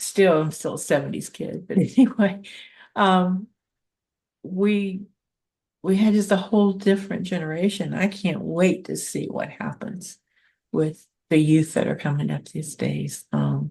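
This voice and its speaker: Somewhat breathy and dark, mellow in tone, a woman speaks fairly slowly with long, frequent pauses. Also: medium pitch for a woman, ordinary pitch variation. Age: 70s. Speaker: podcast host. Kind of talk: interview.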